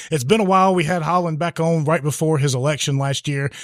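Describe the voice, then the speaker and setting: Talking at a very fast pace, a man with a southwest Virginia accent uses a fairly high pitch with ordinary pitch variation. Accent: southwest Virginia, Franklin County. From Franklin County, southwest Virginia. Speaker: podcast host. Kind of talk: casual chat. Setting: live recording in a bar.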